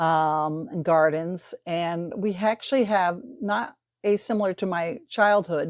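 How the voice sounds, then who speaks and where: A woman speaks at a very slow pace with a fairly low pitch and ordinary pitch variation, in a very clean recording with a silent background. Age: 60s. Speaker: science teacher. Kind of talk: casual interview.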